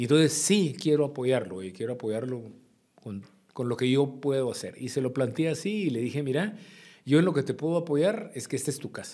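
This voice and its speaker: A man with a fairly high pitch and a dark, mellow tone speaks at a fairly quick pace with lively intonation against a quiet background. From Guatemala. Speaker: former politician and businessman; former politician. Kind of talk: interview. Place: studio. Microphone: studio mic.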